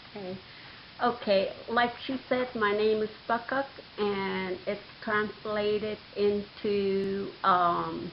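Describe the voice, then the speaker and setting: Very slow speech from a woman at a medium pitch, with fairly even intonation and noticeable background noise. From northwest Alaska. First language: Inupiaq. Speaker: Alaska Native elder. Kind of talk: interview. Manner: halting.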